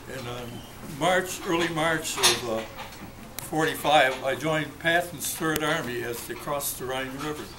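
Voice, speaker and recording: With an American accent, a man talks at a fairly high pitch with ordinary pitch variation, amid audible room echo and noticeable background noise. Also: moderate pace. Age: 80s+. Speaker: war veteran. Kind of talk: birthday speech. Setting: restaurant party with audience. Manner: halting.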